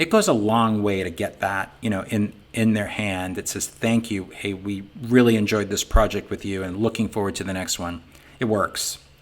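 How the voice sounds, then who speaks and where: The speaker has a Boston accent and talks at a moderate pace with fairly even intonation. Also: man, fairly low pitch for a man. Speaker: sign business owner and software founder. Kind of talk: business webinar talk. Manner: casual, conversational with many fillers.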